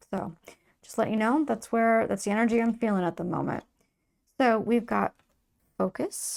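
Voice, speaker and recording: Soft-spoken and calm, a woman with a fairly high pitch and ordinary pitch variation speaks at a moderate pace, leaving long, frequent pauses. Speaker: tarot reader. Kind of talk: tarot reading.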